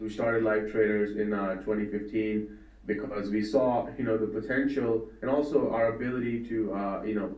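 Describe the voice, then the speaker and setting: There is noticeable background noise and audible room echo. Through it, a man with a fairly low pitch speaks at a fairly quick pace. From India. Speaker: trading educator. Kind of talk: interview. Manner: hesitant, many fillers.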